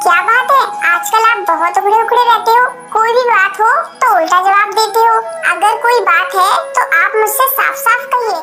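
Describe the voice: A woman uses a cartoonish character voice at an extremely high pitch, keeping a moderate pace. Her loudness stays very even while clear music plays in the background.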